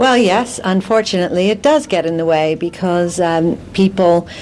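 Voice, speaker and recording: A woman with an American accent speaks at a fairly slow pace in a fairly low pitch. Her intonation is lively, and there is noticeable background noise. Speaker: business executive. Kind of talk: TV news interview. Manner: slight rising intonation at sentence end.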